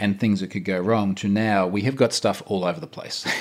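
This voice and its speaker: The speaker is a man with a fairly low pitch and an Australian accent. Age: 40s. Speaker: security researcher. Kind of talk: casual chat.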